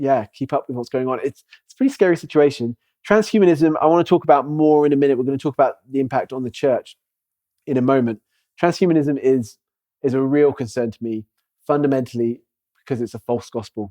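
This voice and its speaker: At a very fast pace, a man with a fairly high pitch and a dark, mellow tone talks with ordinary pitch variation and big swings in loudness, in a dry, close sound with no echo over a quiet background. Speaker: church elder and speaker on AI. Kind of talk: lecture.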